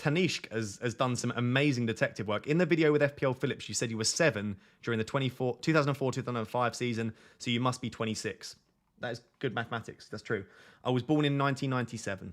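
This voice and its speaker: A man with a British accent talks at a very fast pace, medium pitch and ordinary pitch variation. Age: 20s. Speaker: fantasy football streamer. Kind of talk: live stream chat. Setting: live stream on camera. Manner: casual, chatty.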